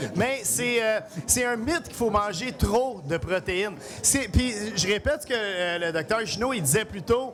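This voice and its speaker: Over music in the background, a man speaks loudly at a fairly slow pace. His pitch is high, and his intonation is lively. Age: 40s. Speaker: chef. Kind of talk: cooking demonstration. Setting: live event with audience.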